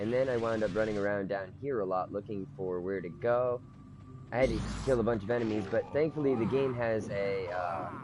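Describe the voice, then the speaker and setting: Moderately paced male speech, fairly low in pitch, ordinary in its pitch movement, over background music. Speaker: gaming streamer. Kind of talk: let's play commentary.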